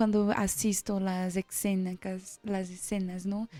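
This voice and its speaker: A woman speaks with a Portuguese accent. The sound is dry and close with no echo, and music plays in the background. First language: Portuguese (speaking Spanish). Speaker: exchange student and performing artist. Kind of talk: radio interview. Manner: halting.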